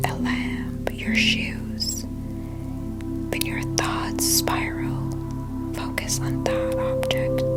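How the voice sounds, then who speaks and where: Someone whispers at a very slow pace with music in the background. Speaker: meditation guide. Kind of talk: guided ASMR meditation. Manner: whispered; soft-spoken, calm.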